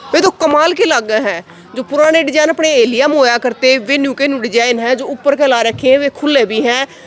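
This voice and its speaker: With crowd noise in the background, the speaker talks with hardly any pauses and ordinary pitch variation. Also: woman, high pitch for a woman, moderate pace. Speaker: village video reporter. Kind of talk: walking tour with interviews. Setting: village meeting hall library. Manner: conversational, animated.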